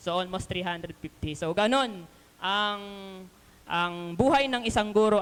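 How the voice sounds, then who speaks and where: Fairly quick speech from a woman at a medium pitch, its pitch variation ordinary. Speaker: lay preacher, elementary school teacher. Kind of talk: sermon. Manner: loud.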